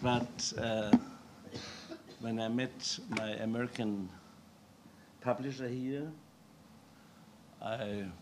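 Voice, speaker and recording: Over noticeable background noise, a man at a medium pitch speaks at a very slow pace with long, frequent pauses. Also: ordinary pitch variation. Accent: strong German. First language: German. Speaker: author. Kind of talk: reading and conversation.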